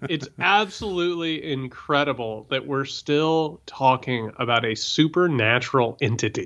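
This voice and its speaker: A man with an American accent speaks at a fairly high pitch with lively intonation. The background is quiet. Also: fairly slow pace. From Indiana. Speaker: political podcast host. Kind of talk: casual political discussion. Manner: animated.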